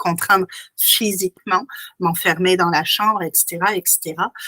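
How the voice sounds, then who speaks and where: Using fairly even intonation, a woman speaks at a moderate pace in a medium pitch with a bright, sharp tone and a dry, close sound with no echo. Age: 40s. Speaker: hypnotherapist. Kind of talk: interview answer. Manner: calm, composed.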